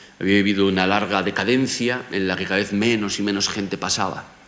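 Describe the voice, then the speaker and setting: With audible room echo around him, a man speaks at a fairly low pitch. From Galicia, Spain (Vigo). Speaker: professor. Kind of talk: lecture.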